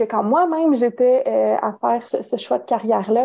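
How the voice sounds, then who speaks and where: The speaker talks at a moderate pace with a Canadian French accent. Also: woman. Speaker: career counsellor and professor. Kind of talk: interview. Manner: hesitant, many fillers.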